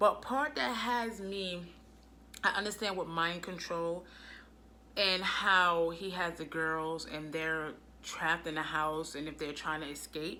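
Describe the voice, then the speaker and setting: Fairly low-pitched and bright, sharp in tone, a woman speaks with an American accent and ordinary pitch variation. Her pace is fairly slow, and audible room echo surrounds her. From US Northeast (Brooklyn, New York). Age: 30s. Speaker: vlogger. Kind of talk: casual vlog monologue.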